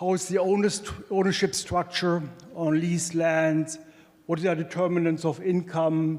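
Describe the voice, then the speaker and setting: Over noticeable background noise, a man speaks at a high pitch with monotone, flat intonation and very even loudness. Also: moderate pace. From Germany. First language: German. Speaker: economics professor. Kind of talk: conference presentation. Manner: hesitant, many fillers.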